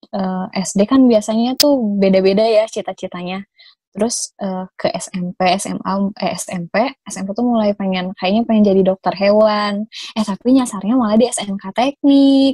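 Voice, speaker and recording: A woman speaks at a moderate pace with a dark, mellow, somewhat breathy tone, a medium pitch, ordinary pitch variation, big swings in loudness, and a dry, close sound with no echo. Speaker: conservation activist. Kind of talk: casual chat. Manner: halting, many fillers.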